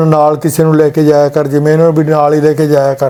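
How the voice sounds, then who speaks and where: A man speaks in a Punjabi accent at a fairly high pitch with monotone, flat intonation. Noticeable background noise runs through the recording. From Punjab, India. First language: Punjabi (speaking Hindi). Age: 70s. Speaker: patient, retired electrical engineer. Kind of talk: testimony.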